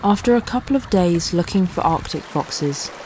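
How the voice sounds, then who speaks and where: Amid noticeable background noise, the speech moves at a fairly slow pace with ordinary pitch variation. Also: woman. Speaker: wildlife photographer and vlogger. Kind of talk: travel vlog narration. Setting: remote house at night. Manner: quiet.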